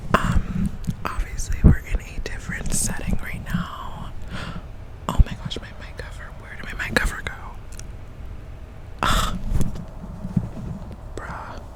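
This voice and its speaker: The voice is whispering, with long, frequent pauses. Noticeable background noise is present. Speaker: ASMR creator. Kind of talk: casual ASMR ramble. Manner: whispered.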